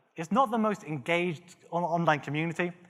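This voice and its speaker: Moving at a fairly quick pace, a man speaks with a bright, sharp tone. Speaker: conference speaker. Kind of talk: conference talk. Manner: conversational, audience interaction.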